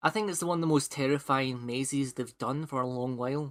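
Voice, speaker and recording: Talking at a moderate pace, a man with a Scottish accent has a fairly high pitch. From Scotland. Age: 20s. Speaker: podcast host. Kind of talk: casual chat. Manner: halting, many fillers and repeats.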